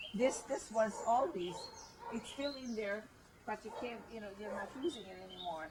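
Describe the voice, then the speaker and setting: A woman's fairly high voice moves at a moderate pace with ordinary pitch variation. Her loudness swings widely, and background noise is noticeable. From Hungary (German-speaking village). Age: 70s. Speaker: elderly woman revisiting childhood home. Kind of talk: casual chat, guided home tour. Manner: halting.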